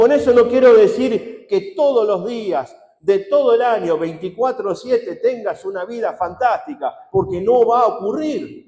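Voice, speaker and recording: A man speaks at an extremely high pitch with very wide pitch swings, keeping a fairly slow pace with hardly any pauses. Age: 60s. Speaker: pastor. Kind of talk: sermon.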